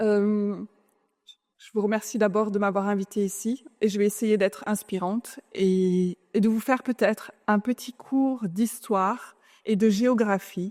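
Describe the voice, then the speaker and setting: In a dry, close sound with no echo, a woman speaks at a very slow pace and medium pitch with fairly even intonation. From France. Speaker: conference speaker, clean tech executive. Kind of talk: conference talk. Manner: hesitant.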